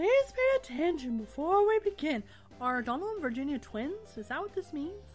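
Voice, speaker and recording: A woman's put-on character voice at high pitch and a moderate pace, with clear music in the background. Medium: actual play. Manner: cheerful, instructive.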